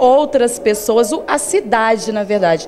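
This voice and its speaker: A moderate pace over light background noise. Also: woman. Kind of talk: interview answer. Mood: proud, happy, earnest. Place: hall. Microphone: handheld.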